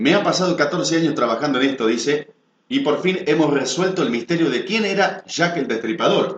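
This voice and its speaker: A man is speaking. His pace is fairly quick. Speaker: announcer, video program host. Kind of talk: news-style narration of a mystery to camera.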